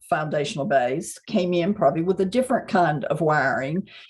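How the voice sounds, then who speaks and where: Speaking at a moderate pace, a woman with a Mississippi accent has a fairly low pitch. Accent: Southern US (Mississippi). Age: 60s. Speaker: psychic channeler and author. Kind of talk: casual interview chat.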